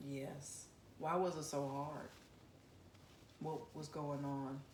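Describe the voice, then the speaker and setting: A woman's very deep, low voice in a flat monotone at a very slow pace, with noticeable background noise. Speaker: interviewer, channel founder. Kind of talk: interview questions.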